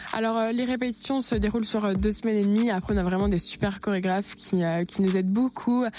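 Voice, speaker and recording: A woman with an unremarkable speaking voice talks at a fairly quick pace and medium pitch, with hardly any pauses, very even loudness and fairly even intonation. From Franche-Comté, France (Besançon). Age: young. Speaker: beauty pageant contestant and student. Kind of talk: radio interview.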